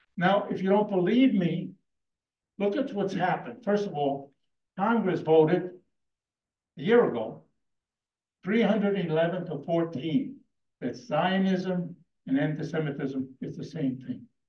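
A man's high voice with lively intonation, a very slow pace, long and frequent pauses, and audible room echo. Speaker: debater, community leader. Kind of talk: heated debate. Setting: stage with audience. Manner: animated. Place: hall.

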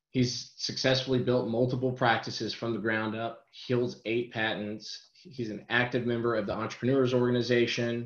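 Fairly even intonation and a fairly quick pace carry this speech, with audible room echo over a quiet background. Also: man. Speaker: webinar host introducing presenter. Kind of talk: webinar introduction. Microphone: webcam.

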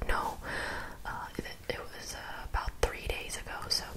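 A woman's whisper at a fairly slow pace. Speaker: vlogger. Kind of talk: casual vlog chat about therapy. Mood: reflective, candid. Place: home room. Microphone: studio mic.

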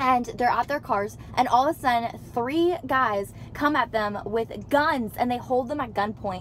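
A woman with ordinary pitch variation, recorded dry with no echo over light background noise. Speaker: vlogger. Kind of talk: casual vlog chat, storytelling. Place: car. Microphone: phone near.

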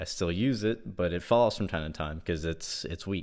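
Against a quiet background, a man talks at a very deep, low pitch with fairly even intonation. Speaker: product reviewer. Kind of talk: casual review chat. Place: home room.

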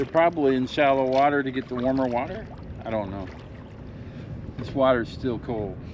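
Over noticeable background noise, a man with an American accent speaks with long, frequent pauses in a dry sound with no echo. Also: medium pitch for a man, ordinary pitch variation, fairly quick pace. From Michigan. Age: 50s. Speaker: fishing YouTuber. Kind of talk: casual outdoor vlog narration; casual vlog chat. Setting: outdoors in a kayak. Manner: animated. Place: waterside. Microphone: camera far.

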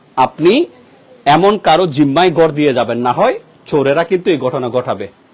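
Lively intonation from a man, with noticeable background noise behind him. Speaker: local news video reporter. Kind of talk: on-location news report. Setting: outdoors and inside a burgled house. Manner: animated.

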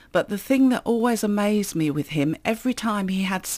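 A woman with a southeast English accent at a moderate pace against a quiet background. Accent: south-east English. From Kent, south-east England. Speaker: author. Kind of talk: interview. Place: studio. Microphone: studio mic.

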